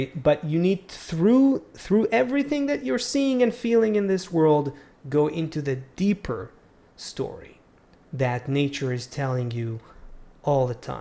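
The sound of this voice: With an Israeli accent, a man speaks at a fairly slow pace in a fairly high voice with a dark, mellow tone and very wide pitch swings. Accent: Hebrew.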